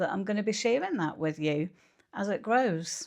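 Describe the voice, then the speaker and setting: A woman speaks with a Scottish accent. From Scotland, Kilmarnock. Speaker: vlogger and mental health nurse. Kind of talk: casual vlog talk to camera. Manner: hesitant, many filler ums.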